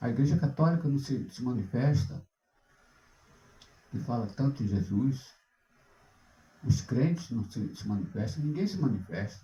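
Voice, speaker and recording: With audible room echo, a man with a somewhat breathy voice and a dark, mellow tone speaks at a moderate pace, his medium pitch moving in very wide swings. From Brazil, Rio de Janeiro (born in Recife). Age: 70s. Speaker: pastor and singer. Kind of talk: sermon. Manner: halting, with repetitions.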